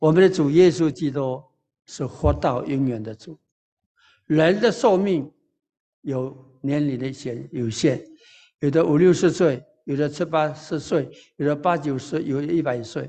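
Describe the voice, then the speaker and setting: This man talks at a fairly slow pace with long, frequent pauses. His tone is dark and mellow, his pitch fairly high with ordinary variation. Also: quiet background. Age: 90s (80s+). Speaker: pastor. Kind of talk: sermon.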